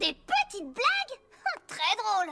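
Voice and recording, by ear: A woman uses a cartoonish character voice at an extremely high pitch, with very wide pitch swings, vocal fry and a bright, sharp tone. She speaks slowly over faint background music.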